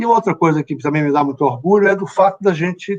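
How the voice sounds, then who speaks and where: Using ordinary pitch variation, a man talks in a dry, close sound with no echo. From Bahia, Brazil. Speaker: company chief executive. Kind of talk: live interview. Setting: LinkedIn live stream.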